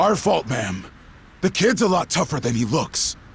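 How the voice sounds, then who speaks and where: A man puts on a raspy character voice pitched fairly high. His pitch swings very widely at a moderate pace. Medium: video game. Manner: rowdy, loud.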